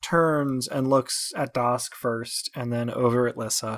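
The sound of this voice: An unforced reading voice with fairly even intonation.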